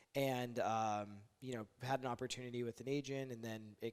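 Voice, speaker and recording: Monotone and flat, a man talks at medium pitch and a fairly quick pace. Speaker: mortgage lender and real estate investor. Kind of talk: casual interview chat. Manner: fast.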